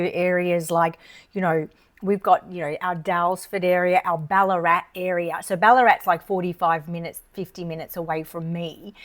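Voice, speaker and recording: A woman at medium pitch with an Australian accent. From Australia, Melbourne. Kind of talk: casual chat.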